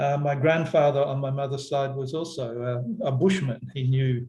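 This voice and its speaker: With an Australian accent, a man speaks at a fairly slow pace in a fairly high pitch, his dark, mellow tone somewhat breathy and his intonation fairly even. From Western Australia, Perth. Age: 60s. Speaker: environmental philosopher. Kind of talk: talk to online workshop. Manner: halting, many fillers.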